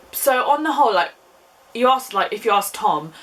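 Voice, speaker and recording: The voice has an English accent. Its intonation is lively. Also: woman. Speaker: YouTuber. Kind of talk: casual chat. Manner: chatty.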